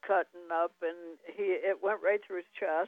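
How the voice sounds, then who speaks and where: A woman speaks at a medium pitch and a moderate pace. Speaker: health supplement distributor. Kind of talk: casual chat. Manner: halting.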